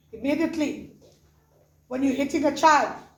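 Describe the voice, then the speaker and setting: Speaking at a moderate pace, a woman with a high pitch uses an animated tone amid audible room echo. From South Africa. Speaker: pastor. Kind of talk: sermon.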